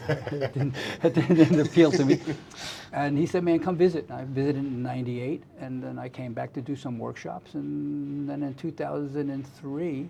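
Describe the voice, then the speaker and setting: A man with a New York accent, fairly high pitch, fairly even intonation, big swings in loudness and a moderate pace. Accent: American (New York). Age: 70s. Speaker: drummer and music teacher. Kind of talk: interview. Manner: halting, many repetitions.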